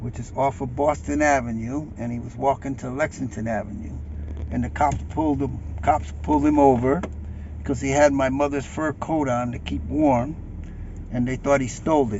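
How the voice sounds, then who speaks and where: With an American accent, this voice swings very widely in pitch at a moderate pace, with audible room echo and noticeable background noise. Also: man, medium pitch for a man. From Bridgeport, Connecticut (US Northeast). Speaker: local old-timer giving a tour. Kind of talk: casual chat while driving. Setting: in a car.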